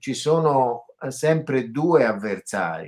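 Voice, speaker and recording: A man speaks at a very slow pace, and the surroundings are quiet. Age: 70s. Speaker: psychotherapist and author. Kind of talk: interview. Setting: video call. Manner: hesitant, many fillers. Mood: reflective, calm. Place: home room. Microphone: video call.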